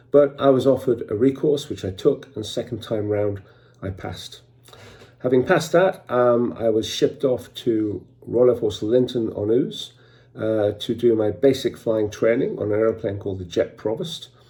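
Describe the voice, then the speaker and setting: Somewhat breathy and with a dark, mellow tone, a man speaks at a medium pitch and a moderate pace with ordinary pitch variation. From northeast England, County Durham. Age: 60s. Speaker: martial arts teacher. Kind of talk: personal storytelling. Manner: hesitant fillers.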